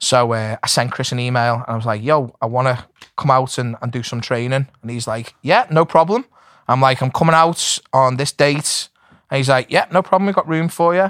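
With an ordinary speaking voice, a man talks at a moderate pace and medium pitch, with ordinary pitch variation, in a dry, close sound with no echo. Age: 40s. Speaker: MMA coach. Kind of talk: casual chat.

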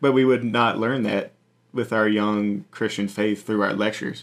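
This man has a fairly low pitch and an American accent, talking at a moderate pace. The recording is very clean, with a silent background. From Virginia, Appalachian Mountains. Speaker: missionary staff. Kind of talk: casual interview. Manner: halting, many fillers.

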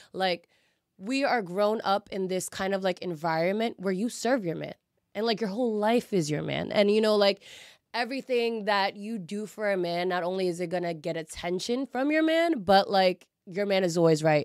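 In a very clean recording with a silent background, a woman speaks at a moderate pace in an unremarkable speaking voice, medium in pitch with ordinary pitch variation. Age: 20s. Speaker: bartender. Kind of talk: casual chat.

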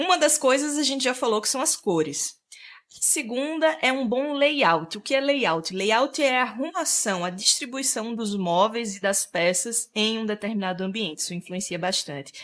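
A woman with a Sergipe accent speaks at a moderate pace, her fairly high voice making very wide pitch swings. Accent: northeastern Brazilian (Sergipe). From Sergipe, northeastern Brazil. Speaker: interior decorator and content creator. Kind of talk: interview, explanatory.

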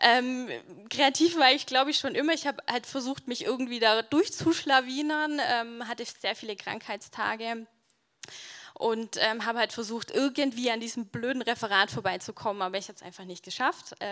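A bright, sharp tone at a moderate pace, with big swings in loudness and ordinary pitch variation. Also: woman, high pitch for a woman. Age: 20s. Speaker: church keyboardist, theology student. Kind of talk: testimony. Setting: church stage with audience.

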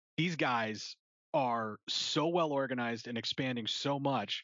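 Using a mid-range pitch, a man talks with typical rises and falls in his voice. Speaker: podcast host. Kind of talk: casual chat. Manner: animated.

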